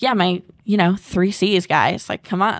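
Speaking in an American accent, a woman with a plain, everyday voice talks fairly slowly at a medium pitch with fairly even intonation. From Massachusetts. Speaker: esports influencer manager. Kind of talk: casual chat.

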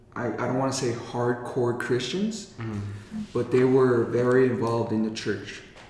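Against noticeable background noise, a man with an American accent speaks at a medium pitch and a moderate pace with fairly even intonation. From Colorado, US. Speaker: podcast co-host and youth mentor. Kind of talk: casual chat. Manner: laughs often.

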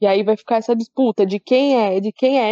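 A woman with a São Paulo accent talks in a fairly high pitch. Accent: paulista. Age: 30s. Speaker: podcast host. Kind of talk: casual chat.

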